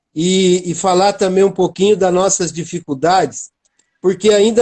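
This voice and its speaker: This man's voice sits high in pitch. He talks at a fairly slow pace. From Brazil, interior of São Paulo state. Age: 60s. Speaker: art gallery owner. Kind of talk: interview.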